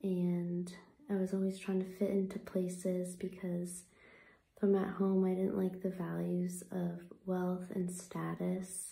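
Soft-spoken, a woman talks at a very slow pace with audible room echo. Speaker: vlogger. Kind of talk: reflective personal talk. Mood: earnest, reflective. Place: home room. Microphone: phone near.

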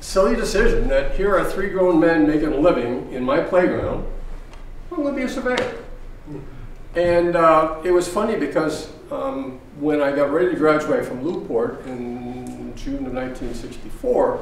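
A man talks at a fairly slow pace with a high pitch and very wide pitch swings. The room echo is audible, with light background noise. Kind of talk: lecture. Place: hall. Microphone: camera far.

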